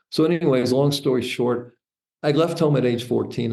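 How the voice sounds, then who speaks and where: An audible room echo surrounds a voice with a dark, mellow tone. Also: man. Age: 60s. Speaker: entrepreneur and author. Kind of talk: interview storytelling.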